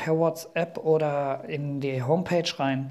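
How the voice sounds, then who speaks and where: Here a man with a fairly high pitch speaks at a very slow pace. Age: 40s. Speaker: master carpenter and podcast host. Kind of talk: solo podcast monologue. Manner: casual with frequent filler sounds.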